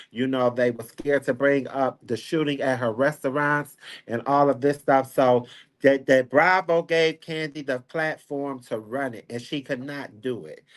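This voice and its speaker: Against a quiet background, a man speaks at a moderate pace in a fairly high pitch with fairly even intonation. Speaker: celebrity gossip commentator. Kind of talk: casual chat. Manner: soft-spoken.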